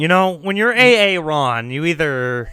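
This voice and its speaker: A man speaks with an American accent in an ordinary speaking voice, fairly high in pitch. His pace is moderate and his intonation lively. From US South. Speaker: streamer. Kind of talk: casual chat.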